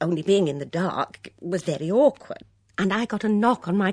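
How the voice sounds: Natural reading voice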